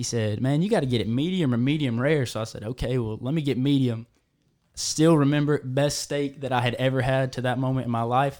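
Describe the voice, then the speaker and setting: The speaker talks at a fairly quick pace in an Alabama accent. The recording is very clean with a silent background. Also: man, medium pitch for a man, fairly even intonation. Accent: Southern US (Alabama). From Alabama, US South. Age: 20s. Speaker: cattle farmer. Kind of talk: casual chat. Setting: studio.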